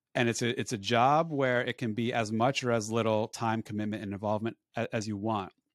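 In a very clean recording with a silent background, a man with an American accent uses an ordinary speaking voice at medium pitch, talking at a fairly quick pace with fairly even intonation and hardly any pauses. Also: dry, close sound with no echo. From New Jersey, Woodbridge. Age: 40s. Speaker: financial advisor. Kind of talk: interview.

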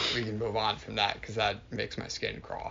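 The man's pace of speech is moderate. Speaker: intern's boss. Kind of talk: casual chat. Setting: in person, at a house. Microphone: shared phone recording.

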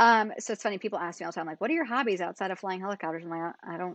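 Very fast speech from a woman with an American accent, medium pitch and ordinary pitch variation, against a quiet background. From upstate New York, near Albany. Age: 30s. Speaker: helicopter company owner and pilot examiner. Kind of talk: casual interview.

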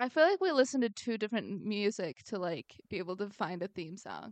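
Her pitch swinging very widely, a woman speaks in an animated tone. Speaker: podcast co-host. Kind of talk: casual chat. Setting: remote recording over internet audio. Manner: animated, high peaks.

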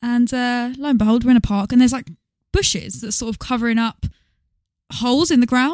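With an English accent, a woman speaks at a high pitch and a fairly quick pace, with ordinary pitch variation and long, frequent pauses, in a dry, close sound with no echo. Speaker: podcast co-host, former singing teacher. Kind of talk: casual chat. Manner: fast.

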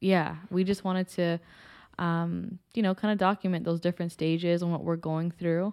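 A woman with a Toronto accent, fairly low pitch, monotone, flat intonation and a moderate pace, on a very clean recording with a silent background and a dry, close sound with no echo. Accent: Canadian (Toronto). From Toronto, Canada (Scarborough). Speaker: podcast co-host, real estate agent. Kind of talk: casual chat.

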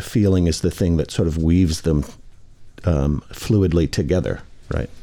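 A man with an American accent has a very deep, low pitch and a dark, mellow tone. The recording is very clean, with a silent background. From Michigan. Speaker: restaurateur and scholar. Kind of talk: casual chat. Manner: halting.

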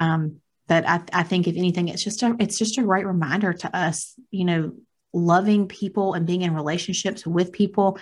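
Somewhat breathy, a woman talks at a moderate pace with a medium pitch and an American accent. Her intonation is fairly even, and the recording is very clean with a silent background. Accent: country twang. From rural US. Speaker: podcast co-host. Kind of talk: casual chat. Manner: laughs often.

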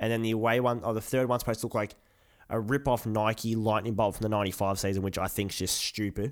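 A man talks very fast at a medium pitch, his intonation monotone and flat. The recording is very clean, with a silent background. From Australia, Melbourne. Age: 20s. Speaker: podcast co-host, football shirt collector. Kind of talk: casual chat.

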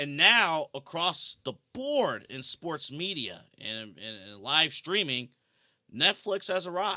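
A man at a very slow pace, fairly high in pitch, with a bright, sharp tone, vocal fry, very wide pitch swings and big swings in loudness, on a very clean recording with a silent background. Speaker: wrestling podcast co-host. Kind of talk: casual chat.

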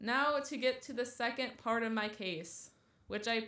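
A woman with a high pitch speaks in a playful tone at a fairly slow pace, with ordinary pitch variation. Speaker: podcast co-host. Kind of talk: casual banter, chatty. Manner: playful, joking, overlapping.

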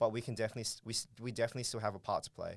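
A man talks at a very fast pace with an Australian accent. His pitch is medium, and the recording is very clean with a silent background. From Australia, Darwin (Northern Territory). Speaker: startup co-founder. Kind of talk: interview.

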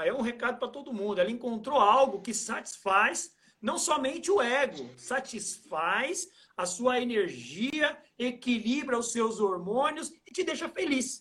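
Pitched extremely high, a man speaks in a bright, sharp tone with lively intonation. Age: 40s. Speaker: trail running athlete and coach. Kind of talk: casual interview on a live stream. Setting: Instagram live video call.

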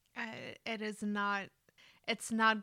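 A woman speaks at medium pitch with a bright, sharp tone. Her intonation is monotone and flat, and her pace is very slow. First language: not English. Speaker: podcast co-host. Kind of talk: casual chat.

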